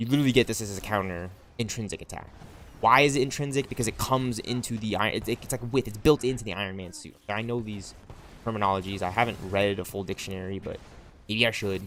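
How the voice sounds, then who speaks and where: Animated and very fast, a man speaks at a fairly low pitch with ordinary pitch variation and big swings in loudness. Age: 20s. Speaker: gaming streamer. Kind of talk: casual live-stream chat.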